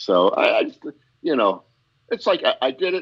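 This man has an American accent. He talks at a moderate pace. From Pennsylvania coal region (anthracite, northeastern PA). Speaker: stand-up comedian. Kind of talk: casual interview chat.

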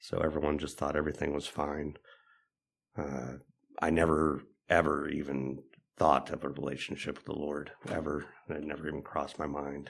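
A man with an American accent, vocal fry, monotone, flat intonation, a moderate pace and long, frequent pauses. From Los Angeles, California (Van Nuys), also US East Coast. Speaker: addiction recovery program student. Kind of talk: testimony. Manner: halting, many filler uhs.

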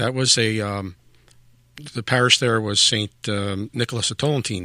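Recorded very cleanly against a silent background, a man with a Philadelphia accent speaks in a fairly low pitch with a bright, sharp tone, the sound dry and close with no echo. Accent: Philadelphia American. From South Philadelphia, US. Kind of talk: interview. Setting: studio.

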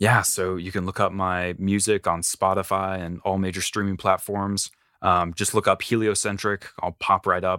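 On a very clean recording with a silent background and a dry, close sound with no echo, a man with an American accent speaks at a very deep, low pitch, his tone bright and sharp and his intonation monotone and flat. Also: moderate pace. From US South, rural North Carolina. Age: 20s. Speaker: one-man metal band musician. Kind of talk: casual interview chat.

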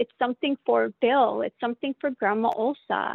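With a Canadian accent, a woman speaks at a moderate pace and a high pitch. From Calgary, Canada. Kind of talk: casual interview conversation.

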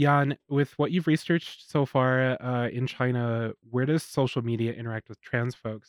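In a normal speaking voice at a medium pitch, a man talks at a fairly quick pace with fairly even intonation, the sound dry and close with no echo. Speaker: radio host. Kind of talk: interview, scripted intro. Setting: radio studio.

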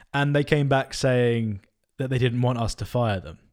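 Ordinary pitch variation from a man in a normal speaking voice, pitched medium. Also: very clean recording, silent background. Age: 20s. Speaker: podcast co-host, software co-founder. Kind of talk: casual chat.

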